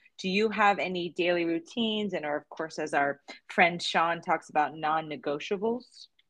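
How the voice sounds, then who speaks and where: A woman speaks in a normal speaking voice, fairly low in pitch, with an American accent. Her pace is moderate, her pitch variation ordinary, and the background quiet. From New Jersey. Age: 40s. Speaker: podcast host and yoga teacher. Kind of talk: podcast interview.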